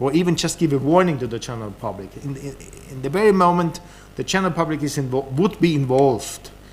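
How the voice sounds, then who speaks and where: In a German accent, a man talks at a fairly quick pace with ordinary pitch variation and audible room echo. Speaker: government official. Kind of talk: conference talk. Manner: halting, many repetitions.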